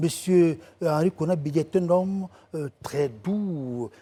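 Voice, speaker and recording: Using a plain, everyday voice, a man talks at a fairly slow pace with a fairly high pitch. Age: 60s. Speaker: writer and political commentator. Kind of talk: TV talk show interview. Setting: TV studio.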